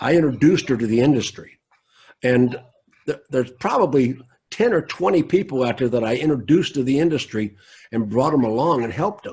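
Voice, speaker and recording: Talking at a fairly quick pace with lively intonation, a man with a medium pitch sounds somewhat breathy and speaks with an American accent. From US South. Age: 70s. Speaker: car dealer consultant. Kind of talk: interview.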